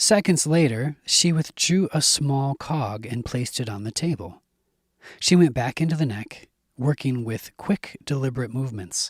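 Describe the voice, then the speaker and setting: A soft-spoken, somewhat breathy man at a medium pitch with lively intonation, dry and close with no echo, on a very clean recording with a silent background. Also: moderate pace. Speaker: audiobook narrator. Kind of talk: horror audiobook reading. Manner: soft, ASMR-style, tense.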